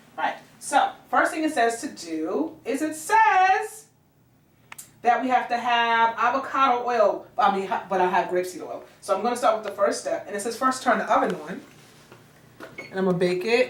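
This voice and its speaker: A woman with an American accent speaks at a moderate pace in a fairly high voice, her pitch swinging very widely, with audible room echo. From New York. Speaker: middle school music teacher. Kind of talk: cooking tutorial. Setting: home kitchen.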